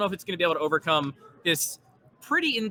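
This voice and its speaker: Very fast and loud, a man talks with lively intonation over noticeable background noise. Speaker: game commentator. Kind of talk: live commentary. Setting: convention event.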